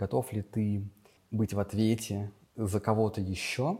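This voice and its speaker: A man's fairly low-pitched voice carries a dark, mellow tone and sounds somewhat breathy. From Russia, Vladimir region (Gus-Khrustalny). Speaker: school teacher. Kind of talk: casual interview.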